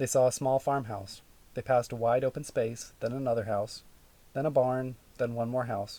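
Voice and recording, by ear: A natural reading-aloud voice with fairly even intonation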